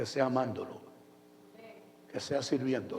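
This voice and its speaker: Audible room echo hangs around this man's voice. He talks at a medium pitch. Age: 70s. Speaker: pastor. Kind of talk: sermon.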